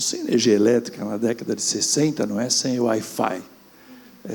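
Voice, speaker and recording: There is noticeable background noise behind this man. He has a medium pitch and ordinary pitch variation. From rural Brazil. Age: 60s. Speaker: businessman. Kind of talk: panel discussion.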